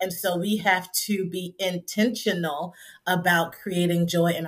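This woman has a plain, everyday voice with an American accent. She talks at a moderate pace with a fairly low pitch and fairly even intonation. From Trenton, New Jersey. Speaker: counselor and professor. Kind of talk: interview.

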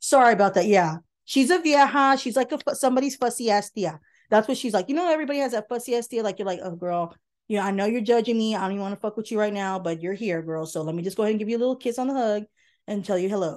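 Over a quiet background, a woman talks very fast with lively intonation and a fairly high pitch. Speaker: co-host's mother. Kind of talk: casual chat.

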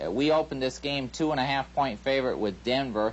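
Here a man has a plain, everyday voice, with medium pitch and fairly even intonation. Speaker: sports betting analyst. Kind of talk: sports betting picks discussion.

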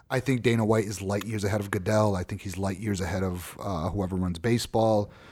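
An ordinary speaking voice from a man with an American accent, fairly low in pitch with fairly even intonation, in a very clean recording with a silent background. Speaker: podcast host. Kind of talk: casual chat.

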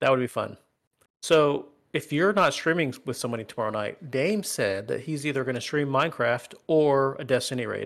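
The recording is very clean with a silent background, carrying a normal speaking voice at a moderate pace with ordinary pitch variation. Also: man, fairly high pitch for a man. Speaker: gaming podcast co-host. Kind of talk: casual banter podcast. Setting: live stream. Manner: joking, playful.

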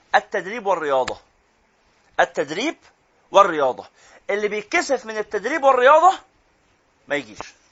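A man's high-pitched voice with very wide pitch swings, a moderate pace, and long, frequent pauses. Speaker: Quran teacher. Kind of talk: lecture. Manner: animated.

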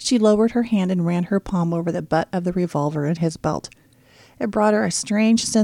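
The speaker uses an unforced reading voice, with ordinary pitch variation.

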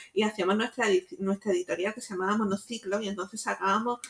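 This woman's voice sits at medium pitch. Her pitch varies in an ordinary way. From Jaén, Andalusia, Spain. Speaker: writer and teacher. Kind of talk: interview.

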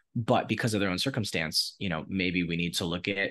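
A man with an American accent and a very deep, low voice with vocal fry, speaking fairly quickly against a quiet background. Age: 30s. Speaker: entrepreneur. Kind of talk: interview.

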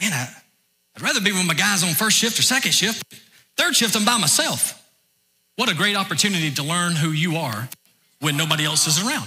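A man speaks at a fairly quick pace with a Southern US accent, his high pitch carried by lively intonation. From US South, north Georgia. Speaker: pastor. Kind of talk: sermon. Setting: church.

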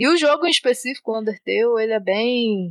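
With a plain, everyday voice, a woman talks at a fairly high pitch and varies it in an ordinary way. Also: dry, close sound with no echo. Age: 20s. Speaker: software developer. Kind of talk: casual chat.

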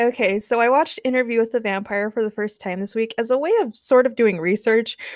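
Plain reading aloud, nothing more

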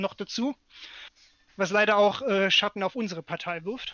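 A man is speaking. His pace is moderate. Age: 30s. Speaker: local party politician and podcast co-host. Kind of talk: casual political chat.

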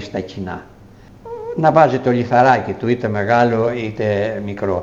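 Noticeable background noise sits behind a man speaking at a medium pitch. He talks fairly slowly with ordinary pitch variation. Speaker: retired school principal and former mayor. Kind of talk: interview.

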